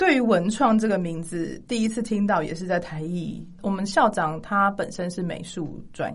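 A woman's medium-pitched voice with vocal fry. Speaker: music graduate who studied in the UK. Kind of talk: casual chat.

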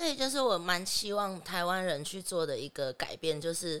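Fairly low in pitch, a woman uses an ordinary speaking voice with lively intonation at a moderate pace. Her recording is very clean, with a silent background. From Taiwan. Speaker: adult film actress. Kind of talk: podcast interview.

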